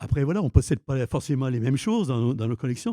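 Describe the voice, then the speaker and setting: With lively intonation, a man speaks in a dark, mellow tone, recorded dry and close with no echo. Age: 70s. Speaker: film collector. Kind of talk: interview. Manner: halting, many repetitions.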